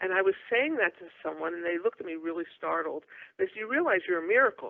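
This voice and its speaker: With an American accent, a woman with an unremarkable speaking voice speaks at a medium pitch with lively intonation. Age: 60s. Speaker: shamanic healer and channeler. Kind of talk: interview life story.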